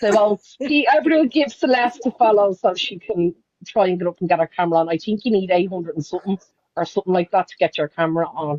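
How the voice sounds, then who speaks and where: The speech comes at a very fast pace in an Irish accent. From Ireland, Dublin (Loughlinstown). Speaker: live stream host. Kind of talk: casual chat.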